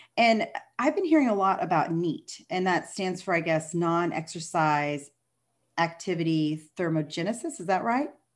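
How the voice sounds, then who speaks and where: A plain, everyday voice from a woman with an American accent, fairly low in pitch, at a moderate pace with ordinary pitch variation and a quiet background. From Texas. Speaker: podcast host and nutrition coach. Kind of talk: interview.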